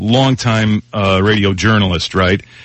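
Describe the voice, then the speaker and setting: A man with an American accent. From US Midwest. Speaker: broadcaster and podcaster. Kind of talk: casual chat. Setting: remote call-in.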